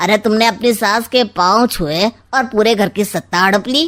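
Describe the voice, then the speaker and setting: In a cartoonish character voice, a woman talks at a fairly high pitch. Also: moderate pace, ordinary pitch variation. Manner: sly, smug, insinuating.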